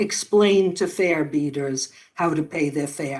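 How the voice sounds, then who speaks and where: Using a plain, everyday voice, a woman with an American accent talks at a fairly slow pace with ordinary pitch variation. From New York. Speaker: former police officer, policy fellow. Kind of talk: prepared testimony.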